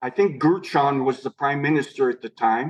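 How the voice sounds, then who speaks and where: A man with an American accent speaks in an unremarkable speaking voice at a fairly high pitch. His pace is moderate and his pitch variation ordinary. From United States. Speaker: restaurant owner. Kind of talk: interview answer.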